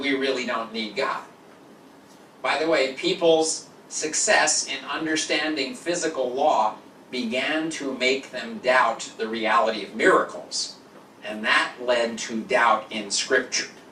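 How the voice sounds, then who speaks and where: With an American accent and a medium pitch, a man talks at a fairly slow pace amid noticeable background noise and audible room echo. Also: ordinary pitch variation. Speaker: lecturer. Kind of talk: lecture. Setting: stage with audience.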